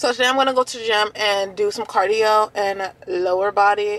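Speaking at a fairly slow pace, a woman is heard in a dry sound with no echo. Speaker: fitness vlogger. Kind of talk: casual vlog chat. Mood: relaxed, upbeat. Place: car. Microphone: phone near.

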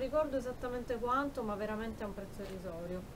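Talking very fast at a high pitch, a woman uses ordinary pitch variation over noticeable background noise. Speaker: YouTube beauty and shopping vlogger. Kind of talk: haul video, casual talk to camera. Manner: animated, chatty with fillers. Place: home room. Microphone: phone near.

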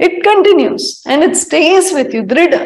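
A woman speaks at a very slow pace with lively intonation. Audible room echo surrounds her voice. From India. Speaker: spiritual teacher. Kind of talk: spiritual talk mixing Hindi and English. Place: home room. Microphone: lapel.

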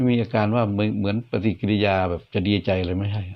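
Fairly even intonation marks this speaker's delivery in a normal speaking voice. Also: man. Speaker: ghost story narrator. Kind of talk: ghost story narration.

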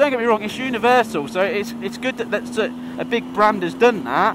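A man's high voice at a fairly quick pace, ordinary pitch variation, a dry sound with no echo, and noticeable background noise. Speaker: motorcycle vlogger. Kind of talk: casual vlog chat. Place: motorbike. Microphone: helmet.

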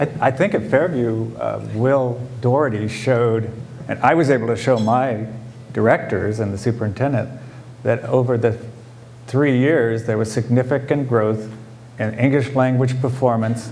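Speaking with an American accent, a man uses an ordinary speaking voice at a medium pitch, a moderate pace and fairly even intonation. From California foothills. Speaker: school principal; school principal on panel. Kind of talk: panel talk. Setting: conference panel with audience. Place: hall. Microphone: lapel.

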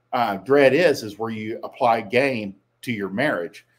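This man talks fairly slowly. The rise and fall of his pitch is ordinary. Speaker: dating coach. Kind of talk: solo commentary.

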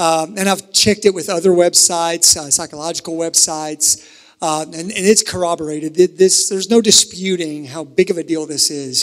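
The speech flows with hardly any pauses at a moderate pace. Pitch variation is ordinary. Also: man, high pitch for a man, big swings in loudness, quiet background. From US South, eastern Kentucky (Harlan County); US South. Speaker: pastor. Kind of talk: sermon. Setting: church with live audience, also streamed. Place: church. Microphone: handheld.

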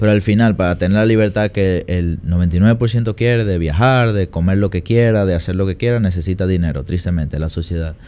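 The delivery has a moderate pace and ordinary pitch variation. Hardly any pauses break it up. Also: man, very deep, low pitch for a man. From Dominican Republic. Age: 20s. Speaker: trader and trading mentor; podcast guest. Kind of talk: interview. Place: studio. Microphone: studio mic.

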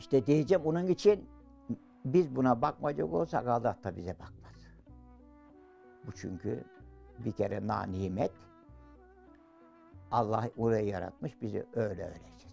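Against faint background music, a man speaks fairly slowly with long, frequent pauses, very wide pitch swings and big swings in loudness. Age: 80s+. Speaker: villager caring for wife with Alzheimer's. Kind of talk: interview answer. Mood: tearful, emotional. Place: home room.

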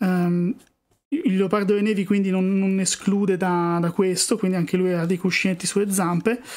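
Delivery is at a moderate pace with fairly even intonation. The recording is very clean, with a silent background. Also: man, high pitch for a man, very even loudness. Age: 30s. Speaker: wildlife artist and YouTuber. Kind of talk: live-stream drawing session with chat Q&A. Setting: live stream.

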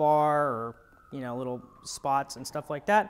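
A man at a moderate pace. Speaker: product reviewer. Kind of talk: product review commentary. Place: office. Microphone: lapel.

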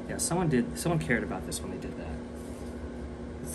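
Loud background noise runs behind the recording. Over it, a man speaks at a very fast pace. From US, Welsh heritage. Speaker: artist and video creator. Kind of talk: casual vlog narration while working. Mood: relaxed, joking. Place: workshop. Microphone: phone near.

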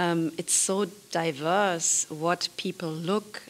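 Her pitch is fairly low, and her pitch variation is ordinary. The woman speaks at a very slow pace. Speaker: film producer. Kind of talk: interview. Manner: soft-spoken; halting. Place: hall. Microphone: studio mic.

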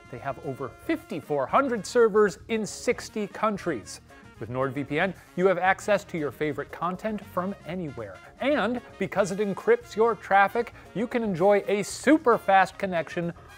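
With faint music in the background, a man talks at a fairly slow pace. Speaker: show host. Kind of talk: sponsor read. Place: studio. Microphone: lapel.

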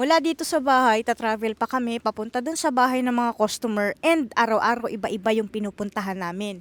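A woman's plain, everyday voice, fairly high in pitch, at a fairly quick pace with ordinary pitch variation, in a very clean recording with a silent background and a dry, close sound with no echo. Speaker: vlogger and housekeeper in Japan. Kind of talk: casual vlog monologue.

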